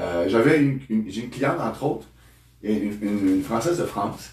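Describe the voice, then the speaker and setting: With a Quebec accent and lively intonation, a man talks at a moderate pace amid audible room echo. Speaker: therapist. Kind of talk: interview. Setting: studio. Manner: halting, many repetitions.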